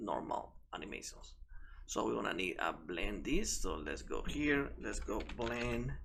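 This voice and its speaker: Audible room echo hangs on speech delivered at a fairly slow pace. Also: man. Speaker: game development tutor. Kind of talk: tutorial. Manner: halting, with fillers and self-corrections.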